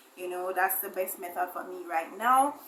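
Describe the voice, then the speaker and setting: Noticeable background noise and audible room echo surround a woman whose medium-pitched voice has lively intonation. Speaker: beauty vlogger. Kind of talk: makeup tutorial. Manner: fast.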